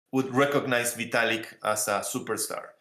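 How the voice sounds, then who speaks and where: Here a man with an Argentine accent speaks at a fairly quick pace. His pitch is medium and his intonation fairly even. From Argentina. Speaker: crypto project founder. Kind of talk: panel interview. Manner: many fillers and repetitions.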